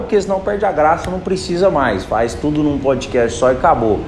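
A man with a fairly high pitch speaks at a moderate pace in very wide pitch swings, with audible room echo and noticeable background noise. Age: 20s. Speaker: podcast host, call center supervisor. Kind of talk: motivational monologue. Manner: informal, direct.

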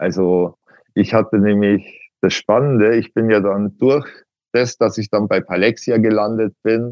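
A man with an unremarkable speaking voice talks fairly slowly at a fairly low pitch, with fairly even intonation. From Upper Bavaria, Miesbach district. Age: 40s. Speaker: patient, IT security consultant. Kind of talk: interview.

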